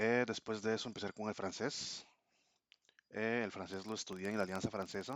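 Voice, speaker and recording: Someone with a Costa Rican accent speaks at a moderate pace in a monotone, flat intonation. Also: man. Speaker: language learner vlogger. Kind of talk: casual vlog monologue. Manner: hesitant, many fillers.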